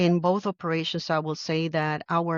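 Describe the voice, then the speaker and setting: A woman speaks in a Puerto Rican accent at a fairly low pitch. She keeps a moderate pace and fairly even intonation. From Puerto Rico. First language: Spanish. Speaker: army general. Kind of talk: interview.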